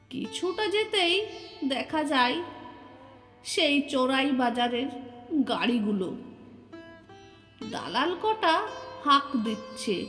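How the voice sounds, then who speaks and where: A woman's high voice with very wide pitch swings over background music. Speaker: poet. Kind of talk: poetry reading.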